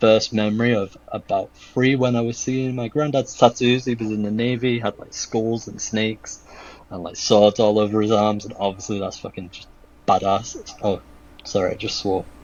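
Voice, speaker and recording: A man at a medium pitch and moderate pace, fairly even intonation, big swings in loudness, noticeable background noise. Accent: British. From UK. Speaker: shoe customizer and artist. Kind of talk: podcast interview.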